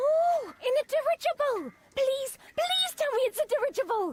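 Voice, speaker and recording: In a put-on character voice, a woman speaks at a moderate pace with an extremely high, squeaky pitch. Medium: video game. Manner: changes wildly between personalities.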